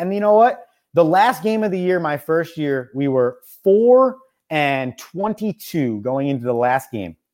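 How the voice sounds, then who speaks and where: A normal speaking voice with lively intonation comes through on a very clean recording with a silent background. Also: man. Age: 20s. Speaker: college baseball coach and radio host. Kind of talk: casual chat.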